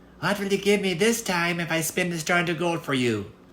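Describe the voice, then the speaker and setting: In a put-on character voice, someone speaks at a middle pitch and a fairly quick pace. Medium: read story. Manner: bargaining.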